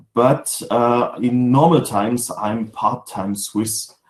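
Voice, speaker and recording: Speaking very slowly in a German accent, a man talks at a medium pitch. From Germany. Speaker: sales manager. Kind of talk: webinar presentation. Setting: home office video webinar. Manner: halting, many fillers.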